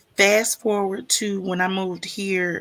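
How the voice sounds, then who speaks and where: A woman's medium-pitched voice in a Southern accent, fairly slow and monotone with flat intonation, on a very clean recording with a silent background. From US South (Mississippi), born in Chicago. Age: 50s. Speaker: stream host. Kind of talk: casual chat. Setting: livestream.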